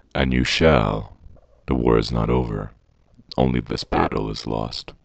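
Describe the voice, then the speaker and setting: This is a put-on character voice. The pitch is very deep and low. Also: moderate pace. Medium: audio drama. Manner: grave, authoritative.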